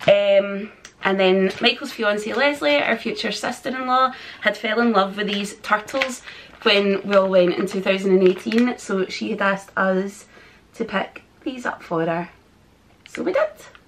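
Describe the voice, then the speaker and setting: A woman with a Scottish accent, fairly slow pace and ordinary pitch variation, over light background noise. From Scotland. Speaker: vlogger. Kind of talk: haul video chat to camera. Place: home room.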